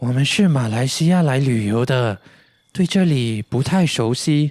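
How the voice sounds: A cartoonish character voice at a moderate pace, on a very clean recording with a silent background. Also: man, medium pitch for a man.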